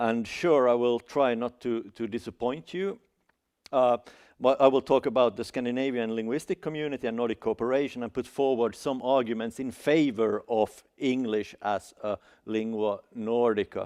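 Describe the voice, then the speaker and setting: Heard dry and close with no echo against a quiet background, the speaker has a Finland Swedish accent, fairly even intonation and a moderate pace. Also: man, medium pitch for a man. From Finland (Swedish-speaking, Helsinki). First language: Swedish (Finland Swedish). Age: 40s. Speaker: academic speaker. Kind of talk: seminar talk. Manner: halting, many fillers and restarts.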